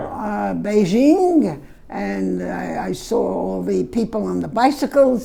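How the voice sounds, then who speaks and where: A woman's very slow speech with hardly any pauses, set against noticeable background noise. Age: 80s+. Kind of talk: interview answer. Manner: hesitant, slow.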